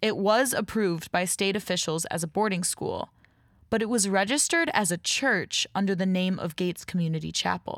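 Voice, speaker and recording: In a very clean recording with a silent background, a woman with an ordinary speaking voice talks at a moderate pace, her medium pitch showing ordinary variation. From Rochester, New York. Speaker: podcast host and creator. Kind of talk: scripted narration with interviews.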